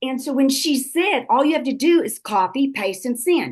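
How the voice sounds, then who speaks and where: A woman with a Texan accent talks at a moderate pace in a high voice. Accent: Texan Southern US. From South Texas. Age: 70s. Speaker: network marketing business leader. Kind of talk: motivational talk on a group call. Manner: animated.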